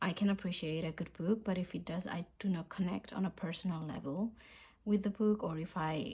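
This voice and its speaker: A woman with a dark, mellow tone and a fairly low pitch, somewhat breathy. She talks at a fairly quick pace with fairly even intonation. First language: Spanish. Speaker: journaling YouTuber. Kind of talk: casual vlog chat. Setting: home filming, rainy day. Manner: relaxed, hesitant with fillers.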